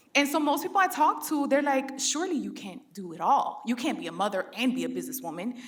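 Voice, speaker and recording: Over noticeable background noise, a woman projects a raised voice at a high pitch, animated in tone, with very wide pitch swings and a fairly quick pace. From Philadelphia, Puerto Rican family. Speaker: entrepreneur and content creator. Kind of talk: panel discussion.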